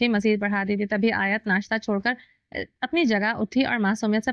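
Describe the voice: The text is read out plainly, the intonation fairly flat, with little noise behind it.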